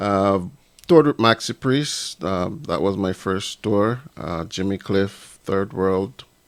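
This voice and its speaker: The speaker goes at a very slow pace in a Jamaican accent, with ordinary pitch variation. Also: man, fairly low pitch for a man. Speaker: reggae musician. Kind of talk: casual chat. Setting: studio.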